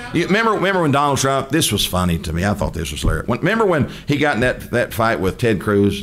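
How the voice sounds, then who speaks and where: A man with a Southern US accent, talking at a very fast pace with very wide pitch swings. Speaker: preacher. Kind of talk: sermon. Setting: church. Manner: animated. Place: church. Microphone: podium.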